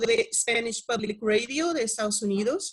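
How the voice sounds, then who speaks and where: With a Portuguese accent, a woman talks at a high pitch and a fairly slow pace. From Brazil. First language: Portuguese (speaking Spanish). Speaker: radio researcher and panel moderator. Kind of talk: moderating online panel, reading introductions. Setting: video call. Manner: formal.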